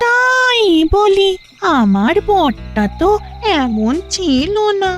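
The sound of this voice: A female-sounding cartoonish character voice speaks at a very slow pace in an extremely high pitch. Clear music plays in the background.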